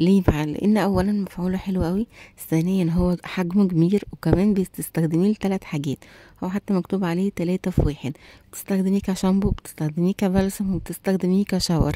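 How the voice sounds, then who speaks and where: Quietly, a woman speaks with an Egyptian accent in a dark, mellow tone with fairly even intonation. The sound is dry and close, with no echo. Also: medium pitch for a woman, moderate pace. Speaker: beauty and shopping vlogger. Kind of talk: product review vlog. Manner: quiet voice; chatty, conversational.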